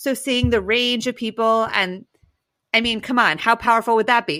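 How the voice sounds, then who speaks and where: With a raised, projected voice, a woman speaks in a bright, sharp and animated tone. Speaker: podcast co-host, social impact strategist. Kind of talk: casual chat. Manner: fast.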